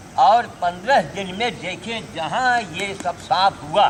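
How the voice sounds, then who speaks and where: A man speaks over noticeable background noise. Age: 70s. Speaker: sadhu giving health advice. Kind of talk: informal talk to a group. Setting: yoga group gathering.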